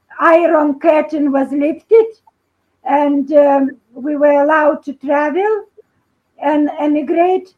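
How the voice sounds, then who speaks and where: A woman with a Lithuanian accent speaks at a very slow pace with long, frequent pauses. Her pitch is high and her intonation fairly even. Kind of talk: video call discussion. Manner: halting.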